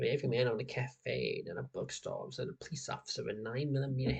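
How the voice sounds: The clip is a natural reading voice with ordinary pitch variation.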